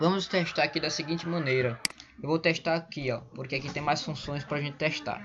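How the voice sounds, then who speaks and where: The talking goes at a moderate pace over noticeable background noise. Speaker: programming teacher. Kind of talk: tutorial. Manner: stumbling over words.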